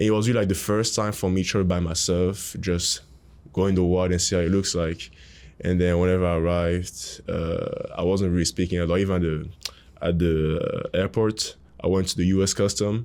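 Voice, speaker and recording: A man with a French accent and a very deep, low pitch talks at a fairly quick pace in a monotone, flat delivery, his loudness very even throughout. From Cameroon. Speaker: college basketball player. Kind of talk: interview.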